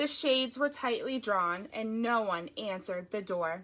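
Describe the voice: Plain reading aloud makes up this clip.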